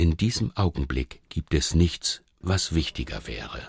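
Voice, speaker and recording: A man speaks at a fairly slow pace with vocal fry and very wide pitch swings. The recording is very clean, with a silent background and a dry, close sound with no echo. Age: 50s. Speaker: radio feature author. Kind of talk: scripted narration.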